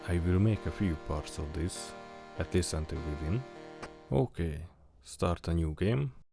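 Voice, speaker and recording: Music plays in the background as a man with a very deep, low pitch speaks at a fairly slow pace, using ordinary pitch variation and long, frequent pauses. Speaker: gaming video creator. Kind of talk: casual gameplay commentary.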